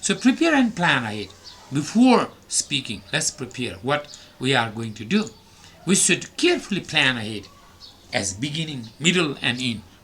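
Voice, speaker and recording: Pitched fairly high, a man speaks with very wide pitch swings over noticeable background noise. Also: moderate pace. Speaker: English teacher. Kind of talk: lecture.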